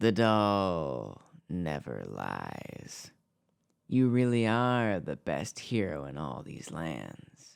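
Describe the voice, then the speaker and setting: Doing a put-on character voice, a man speaks at a very slow pace in a very deep, low, raspy voice, with very wide pitch swings and big swings in loudness. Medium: read story.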